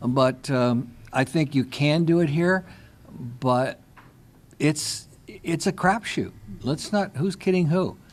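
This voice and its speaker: A man is speaking. His intonation is lively. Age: 60s. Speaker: cause marketing consultant. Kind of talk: panel discussion.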